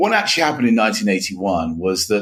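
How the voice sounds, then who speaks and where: A man speaks with a London accent. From England, northwest London. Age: 60s. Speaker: author and education commentator. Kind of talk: interview.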